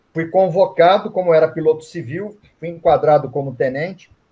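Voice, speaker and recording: The man's voice is fairly high. He keeps to a moderate pace. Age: 60s. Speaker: Reiki master and author. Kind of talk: online event interview.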